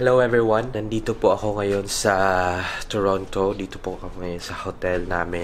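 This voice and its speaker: A man's plain, everyday voice, fairly low-pitched, with fairly even intonation over light background noise. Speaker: travel vlogger. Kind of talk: casual vlog chat. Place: home room. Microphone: phone near.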